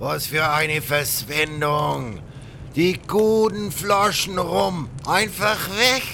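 Putting on a character voice, a man uses a fairly high pitch, a bright, sharp tone and vocal fry, speaking very slowly with fairly even intonation over faint background noise.

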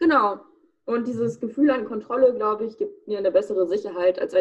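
In a plain, everyday voice, a woman speaks at a fairly quick pace with lively intonation. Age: 20s. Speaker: student and startup founder. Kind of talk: casual interview.

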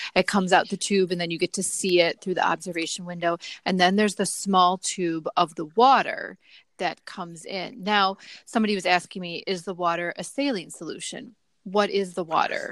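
On a very clean recording with a silent background and a dry, close sound with no echo, a woman speaks in an unremarkable speaking voice at a medium pitch with fairly even intonation. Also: fairly quick pace. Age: 30s. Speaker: podcast host. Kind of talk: casual interview.

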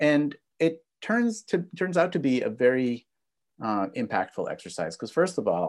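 A man's voice, with vocal fry and very wide pitch swings, comes through a very clean recording with a silent background. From Israel and US, moved back and forth. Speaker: business professor and negotiation expert. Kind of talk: interview.

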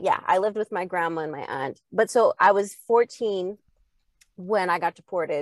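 A woman talks fairly quickly at a medium pitch with ordinary pitch variation, in a plain, everyday voice. Her loudness swings widely, and the sound is dry and close with no echo. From Canada, Edmonton. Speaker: singer and producer. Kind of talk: casual chat.

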